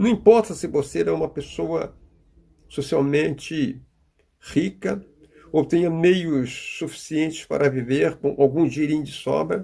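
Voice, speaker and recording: The voice has a dark, mellow tone with vocal fry. It moves at a fairly slow pace with ordinary pitch variation. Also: man, fairly high pitch for a man. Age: 80s+. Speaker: preacher. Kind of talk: sermon.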